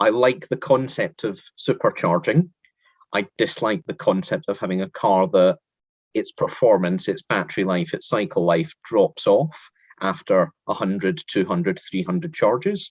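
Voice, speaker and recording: In a Scottish accent, a man with a fairly high pitch and vocal fry speaks at a moderate pace with very wide pitch swings, the sound dry and close with no echo. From Scotland. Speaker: interviewer. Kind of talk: interview.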